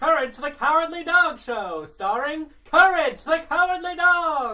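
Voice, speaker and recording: The speaker uses a put-on character voice with a high pitch at a moderate pace. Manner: cartoonish, dramatic.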